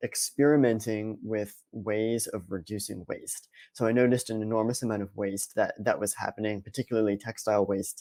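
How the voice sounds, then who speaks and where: In an American accent, a man talks at a moderate pace. His voice is fairly low in pitch with a dark, mellow tone. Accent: Boston accent, suppressed. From US Northeast, Boston area. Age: 20s. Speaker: sustainability analyst at a snack company. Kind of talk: conference presentation. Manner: hesitant, many fillers and repetitions.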